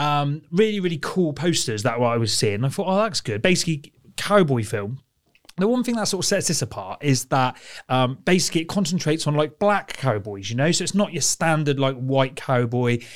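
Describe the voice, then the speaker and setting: A man with a British accent talks at a fairly quick pace, his pitch swinging very widely. The recording is very clean, with a silent background. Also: fairly high pitch for a man. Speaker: film podcast co-host. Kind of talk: casual chat.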